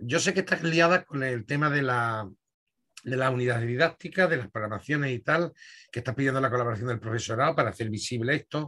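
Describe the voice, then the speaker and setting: Against a quiet background, a man talks very fast in a bright, sharp tone with ordinary pitch variation. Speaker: host of the society's poetry section. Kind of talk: moderating, casual-formal; moderator questions to a lecturer. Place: home room. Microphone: webcam.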